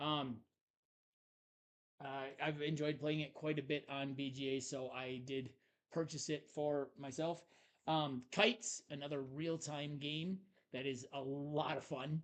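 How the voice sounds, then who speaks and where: Long, frequent pauses break up a man's fairly slow speech. His pitch is fairly high, and his intonation is fairly even. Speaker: board game podcast co-host. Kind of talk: casual chat. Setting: live stream. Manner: loud.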